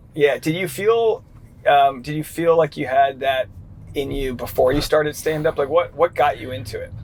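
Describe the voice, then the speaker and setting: A man with an ordinary speaking voice talks at a moderate pace, his fairly high pitch showing ordinary pitch variation and big swings in loudness. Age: 30s. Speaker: comedian and show host. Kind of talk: casual interview chat.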